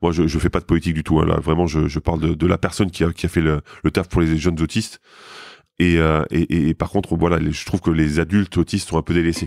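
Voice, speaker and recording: At a very fast pace, a man talks in a very deep, low pitch, with a dry, close sound with no echo on a very clean recording with a silent background. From Lorraine, France. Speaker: former basketball player and TV commentator. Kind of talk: casual interview.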